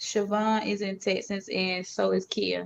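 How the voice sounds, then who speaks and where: With a Southern accent, a woman speaks at a moderate pace in a medium pitch. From US South, Georgia. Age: 40s. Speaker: live stream host. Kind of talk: casual chat.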